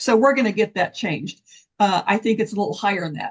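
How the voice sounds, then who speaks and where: A woman speaks in a fairly high, somewhat breathy voice with very wide pitch swings. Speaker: concrete testing program presenter. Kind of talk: technical presentation. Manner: fast.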